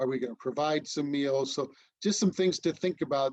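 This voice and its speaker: A man at a fairly high pitch and fairly quick pace, in a dry, close sound with no echo. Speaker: disaster relief trainer. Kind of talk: training presentation. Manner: fast; halting, many fillers.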